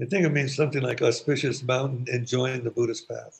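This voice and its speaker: In a monotone, flat delivery, a man with a medium pitch and a somewhat breathy voice speaks at a moderate pace. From San Francisco. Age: 70s. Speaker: Buddhist priest. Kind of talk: casual chat.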